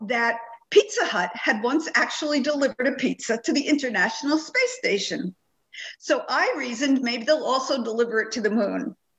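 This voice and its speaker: Speaking with lively intonation, a woman with a New York accent has a high pitch. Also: moderate pace. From Long Island, New York. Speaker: children's book author. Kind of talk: interview.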